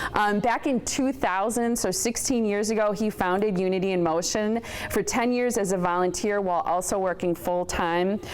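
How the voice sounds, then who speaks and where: A woman speaks at a medium pitch and a moderate pace, with ordinary pitch variation and hardly any pauses. Her loudness stays very even over noticeable background noise. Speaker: TV presenter hosting awards. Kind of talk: award presentation speech. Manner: animated.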